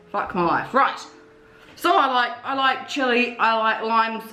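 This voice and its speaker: A woman speaks in a high pitch. Noticeable background noise runs under her voice. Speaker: cooking and hot sauce vlogger. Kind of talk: casual talk to camera.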